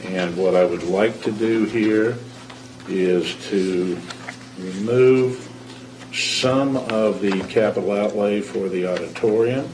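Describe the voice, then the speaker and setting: With noticeable background noise and audible room echo, a man speaks at a very slow pace and a fairly low pitch. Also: ordinary pitch variation. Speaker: school board member. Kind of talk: public meeting speech. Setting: board meeting room. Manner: halting, many fillers.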